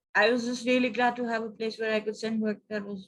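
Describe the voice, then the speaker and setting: A somewhat breathy voice with a Punjabi accent. The pace is moderate. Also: woman. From Pakistan. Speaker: poet. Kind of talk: interview answer.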